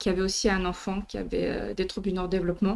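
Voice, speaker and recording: The recording is very clean with a silent background as a woman speaks at a medium pitch. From Marseille, southern France. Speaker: professor and R&D director. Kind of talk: conference talk. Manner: soft-spoken.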